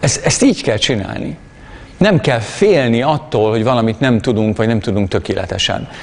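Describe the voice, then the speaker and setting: A man with an unremarkable speaking voice talks at a moderate pace, with medium pitch and ordinary pitch variation. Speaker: preacher. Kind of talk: sermon.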